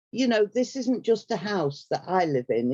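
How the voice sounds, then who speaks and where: At a fairly slow pace, a woman speaks in a dark, mellow tone with very wide pitch swings. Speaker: heritage volunteer. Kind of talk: interview. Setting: video call. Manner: chatty.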